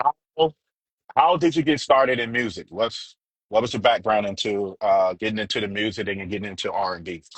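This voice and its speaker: A man with an ordinary speaking voice moves at a fairly quick pace, his fairly low pitch carrying lively intonation and big swings in loudness. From Charlotte, US South. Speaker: radio DJ and interviewer. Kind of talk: interview. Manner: casual.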